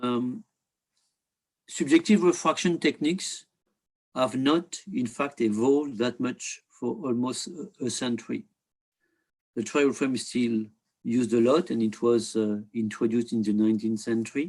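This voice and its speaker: A man with a French accent at a moderate pace, with long, frequent pauses. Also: medium pitch for a man, ordinary pitch variation. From France. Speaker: optics industry director, presenter. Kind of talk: webinar presentation. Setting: online webinar. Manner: halting, many fillers.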